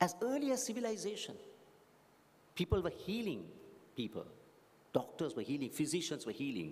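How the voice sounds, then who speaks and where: With audible room echo, a man talks in vocal fry while his pitch swings very widely. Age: 60s. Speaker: graduation speaker. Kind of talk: commencement address. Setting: graduation hall with audience.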